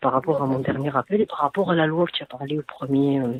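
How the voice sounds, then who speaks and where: Soft-spoken, this speaker moves at a fairly quick pace. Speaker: caller, mother of young children. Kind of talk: radio call-in. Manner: soft-spoken, quiet; halting, many repetitions.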